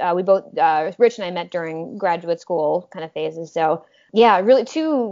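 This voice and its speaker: An unremarkable speaking voice from a woman with an American accent, medium pitch, ordinary pitch variation and a moderate pace. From Minnesota, US. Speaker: professor. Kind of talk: interview.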